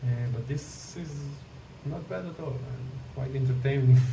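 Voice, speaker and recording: A man speaks at a medium pitch in a monotone, flat delivery, with audible room echo and noticeable background noise. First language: not English. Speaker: AI image generation tutorial creator. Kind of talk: tutorial. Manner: hesitant, many fillers.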